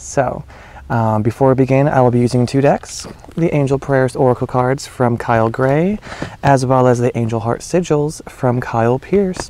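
A man at a moderate pace, dry sound with no echo. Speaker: spiritual reader. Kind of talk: casual vlog chat. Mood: warm, smiling. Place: garden. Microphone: phone near.

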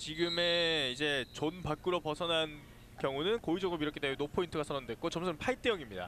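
A man with a normal speaking voice talks at a fairly quick pace, fairly high in pitch, with ordinary pitch variation and very even loudness. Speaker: sports commentator. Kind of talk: live commentary. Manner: fast, excitable play-by-play delivery, calling each move as it happens; formal broadcast diction, with pauses to defer to the analyst.

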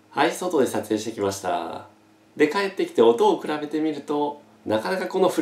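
A man speaks with audible room echo around him. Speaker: gear reviewer. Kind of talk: tutorial. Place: home room. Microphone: camera far.

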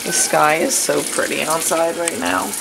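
Against clear background noise, a woman speaks at a low pitch and a fairly slow pace with vocal fry. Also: fairly even intonation.

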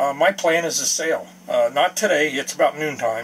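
A man speaks over light background noise. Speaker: boat owner vlogger. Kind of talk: casual vlog chat. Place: boat. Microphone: phone near.

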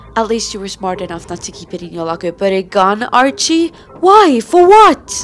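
The speaker has a Finnish accent and a moderate pace, with very wide pitch swings and big swings in loudness. Music plays in the background. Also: woman, medium pitch for a woman. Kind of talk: fan dub of TV drama dialogue.

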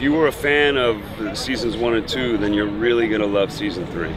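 With an American accent, a man speaks at a moderate pace and ordinary pitch variation, the sound dry with no echo and noticeable background noise behind him. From San Francisco, USA. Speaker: actor. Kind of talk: interview answer. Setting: outdoors. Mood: relaxed, friendly. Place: waterside.

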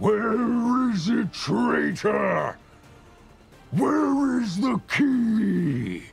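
Faint music plays behind a man doing a put-on character voice at a high pitch and a very slow pace.

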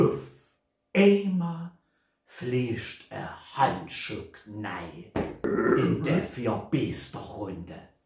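A man speaks at a very slow pace, with long, frequent pauses and very wide pitch swings. Room echo is audible around him. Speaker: poetry reciter. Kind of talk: poetry reading. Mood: humorous, theatrical. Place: home room. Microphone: camera far.

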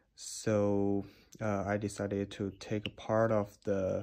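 The speaker has a non-native accent and talks at a very slow pace. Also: quiet background. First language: not English. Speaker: DIY video maker. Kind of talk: tutorial. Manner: halting. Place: home room. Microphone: phone near.

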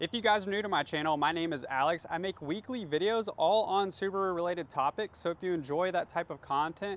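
Speaking at a very fast pace, a man with a high pitch and ordinary pitch variation comes through with a dry sound with no echo. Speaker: car salesperson vlogger. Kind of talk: product walkthrough commentary. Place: street. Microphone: lapel.

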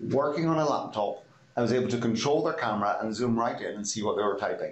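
A man with ordinary pitch variation and audible room echo. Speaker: guest. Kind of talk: interview answer. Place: office. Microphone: video call.

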